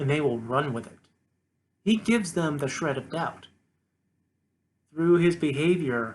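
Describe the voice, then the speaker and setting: A man with an American accent speaks at a fairly slow pace in a somewhat breathy voice. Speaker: political commentary vlogger. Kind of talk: solo rant monologue. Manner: halting, some stuttering; impassioned.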